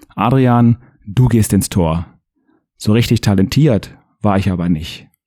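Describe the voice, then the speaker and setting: A man talks at a medium pitch with a dark, mellow tone and ordinary pitch variation. The sound is dry and close, with no echo. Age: 30s. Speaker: football referee and podcast host. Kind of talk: scripted narration.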